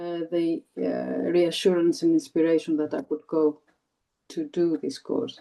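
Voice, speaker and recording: With a Greek accent, a woman talks at a very slow pace. Her pitch swings very widely. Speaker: former TESOL trainee, new English teacher. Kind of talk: interview. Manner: halting, many repetitions.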